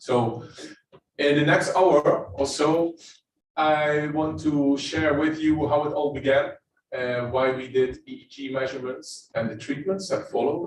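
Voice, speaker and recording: This man has a Dutch accent and talks at a fairly slow pace, with long, frequent pauses. Audible room echo surrounds his voice. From Netherlands. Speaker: neuroscientist. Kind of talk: lecture. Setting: presenting standing to live and online audience.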